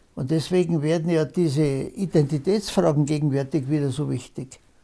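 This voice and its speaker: Dark and mellow in tone, a man talks at a fairly slow pace with ordinary pitch variation. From Upper Bavaria, Germany. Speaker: politician. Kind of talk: interview answer. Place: home room.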